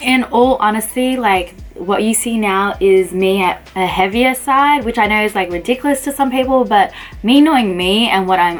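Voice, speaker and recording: Over music in the background, a woman with an Australian accent speaks at a moderate pace with lively intonation. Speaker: pharmacist. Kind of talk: casual talk to camera.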